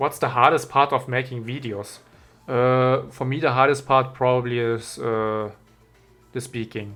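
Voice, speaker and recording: Music plays in the background as a man speaks in a German accent at a fairly slow pace. His pitch is medium and his intonation monotone and flat. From Germany. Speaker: YouTuber and game mod creator. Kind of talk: Q&A video monologue. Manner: halting, with fillers.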